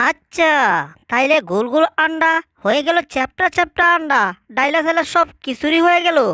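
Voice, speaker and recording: A put-on character voice with a high pitch moves along at a moderate pace. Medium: fan dub.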